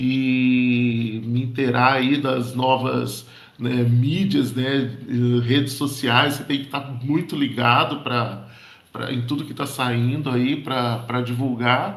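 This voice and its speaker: In a room with audible echo, a man talks at a very slow pace and medium pitch with fairly even intonation. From interior of São Paulo state, Brazil. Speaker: board game shop owner and educator. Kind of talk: casual group chat. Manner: hesitant, many fillers and repetitions.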